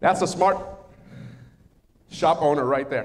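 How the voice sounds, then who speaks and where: A man is talking. He has a Spanish accent. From Mexico, raised in the US. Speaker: workshop speaker, retired air force. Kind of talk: workshop presentation.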